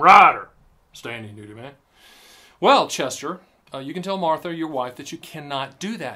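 Against a quiet background, a man with a slight Southern US accent speaks in a fairly high pitch with a bright, sharp tone. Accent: slight Southern twang. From US South, the Carolinas. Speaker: annuity advisor and channel host; channel host. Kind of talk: casual video talk to camera. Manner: animated. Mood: light-hearted, mocking. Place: studio.

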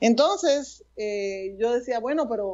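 A woman is speaking. She talks at a very slow pace. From New Jersey, US (Puerto Rican-American). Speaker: pastor. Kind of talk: testimony. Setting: remote connection. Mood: earnest, emotional testimony. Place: home room. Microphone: earbuds.

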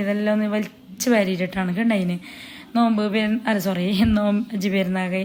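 A woman speaks at medium pitch with a northern Kerala accent. Her intonation is monotone and flat. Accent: Kasaragod Malayalam dialect. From Kerala, Kasaragod. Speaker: cooking and family vlogger. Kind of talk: casual vlog narration.

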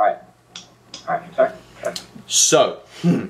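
Neither hurrying nor dragging, a man talks at a moderate pace. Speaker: channel co-host. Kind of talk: casual vlog chat. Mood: excited, joking. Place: home room. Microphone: webcam.

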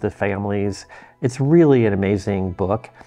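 A man's fairly low voice over faint background music. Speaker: book collector reviewer. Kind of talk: casual vlog chat. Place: home room.

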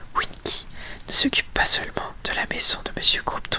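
Whispering at a moderate pace, a woman uses a shrill, squeaky put-on character voice. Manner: indignant.

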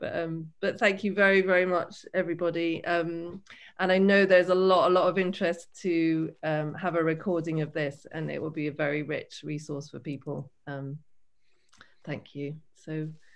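Here a woman speaks with a fairly low pitch. Her intonation is fairly even and her pace moderate. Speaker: artist in residence and symposium moderator; symposium moderator. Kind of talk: online symposium moderation. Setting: video call. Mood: warm, grateful. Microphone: video call.

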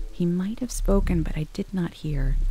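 Woman with very wide pitch swings over music in the background. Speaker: voice actor. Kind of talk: audiobook narration.

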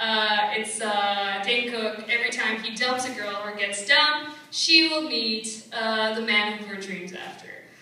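There is strong room echo around a woman's fairly high voice with ordinary pitch variation. She speaks with hardly any pauses. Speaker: stand-up comedian. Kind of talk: stand-up comedy set. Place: stage.

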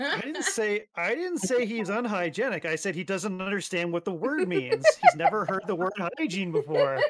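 A man with a high voice speaks at a moderate pace, with lively intonation and hardly any pauses, over noticeable background noise. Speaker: tabletop RPG player. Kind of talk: tabletop roleplaying game session. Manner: animated.

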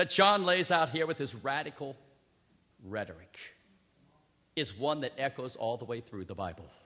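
At a moderate pace, a man with a bright, sharp tone and vocal fry swings very widely in pitch over a quiet background. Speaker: preacher. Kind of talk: sermon.

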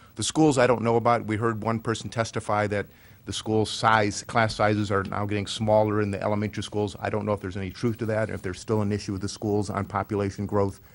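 A man with an American accent rattles off words at a very fast pace with hardly any pauses, his fairly low voice flat and monotone. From US Midwest. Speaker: city council member; city councilman. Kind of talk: public meeting. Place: hall. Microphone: podium.

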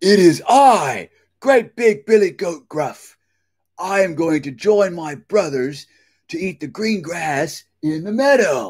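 A man puts on a character voice, high in pitch with a slightly mellow tone and a slightly husky edge. His intonation is lively and his pace slow.

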